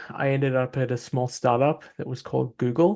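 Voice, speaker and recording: A man speaks with an Australian accent at a medium pitch. The background is quiet. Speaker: tech entrepreneur. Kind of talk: panel discussion.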